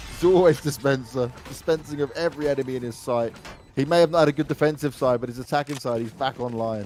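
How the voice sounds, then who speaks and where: Noticeable background noise sits behind a man with a London accent. He talks at a very fast pace, with a medium pitch and ordinary pitch variation. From London, England. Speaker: esports commentator. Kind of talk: live commentary. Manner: animated.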